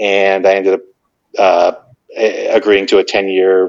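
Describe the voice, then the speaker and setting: Moderately paced speech from a man with a fairly low pitch and an American accent. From New Jersey. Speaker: cannabis entrepreneur. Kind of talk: podcast interview.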